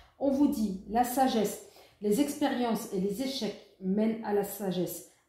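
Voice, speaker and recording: A woman's fairly high, somewhat breathy voice with a dark, mellow tone, ordinary pitch variation, a fairly slow pace and audible room echo. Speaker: tarot reader. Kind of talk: tarot reading guidance.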